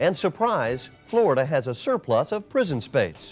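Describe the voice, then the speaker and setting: Music plays in the background as a man with an American accent speaks at a high pitch. His pitch swings very widely. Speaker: TV news anchor and host. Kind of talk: TV news anchor read.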